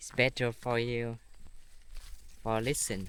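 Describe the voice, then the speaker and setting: Man with a Vietnamese accent, medium pitch and monotone, flat intonation. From northern Vietnam. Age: 20s. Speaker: vlogger. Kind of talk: casual vlog talk. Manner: halting.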